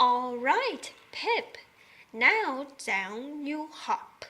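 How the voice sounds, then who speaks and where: A woman puts on a character voice at a high pitch. Her pitch swings very wide. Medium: read story. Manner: warm, fond.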